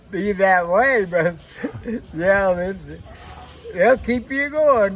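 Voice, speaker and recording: Over noticeable background noise, a man with a high pitch speaks at a very slow pace. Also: ordinary pitch variation. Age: 80s+. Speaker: harness horse owner. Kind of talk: casual interview.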